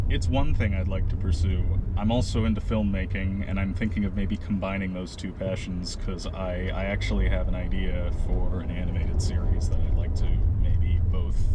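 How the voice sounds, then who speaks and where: Amid noticeable background noise and audible room echo, a man with a very deep, low pitch speaks at a moderate pace with ordinary pitch variation. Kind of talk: casual interview in a car. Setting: in a car.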